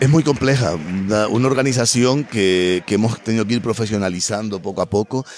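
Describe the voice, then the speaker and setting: At a moderate pace with hardly any pauses, the speech has ordinary pitch variation and very even loudness. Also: man, fairly low pitch for a man. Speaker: festival director and university lecturer. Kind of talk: interview. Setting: on location at a festival.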